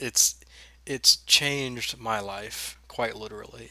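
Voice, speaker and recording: A man speaks quietly. His tone is bright and sharp. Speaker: online marketing coach. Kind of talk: webinar tutorial. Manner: quiet, low-spoken; casual, conversational.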